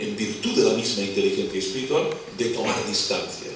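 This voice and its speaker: A man with a Catalan accent speaks at a moderate pace. Audible room echo and noticeable background noise fill the recording. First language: Catalan (speaking Spanish). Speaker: philosopher lecturer. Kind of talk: lecture.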